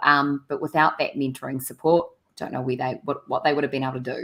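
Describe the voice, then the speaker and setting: A woman with a very deep, low voice speaks in a New Zealand accent. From New Zealand, small regional area. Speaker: community radio co-host. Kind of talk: casual radio chat.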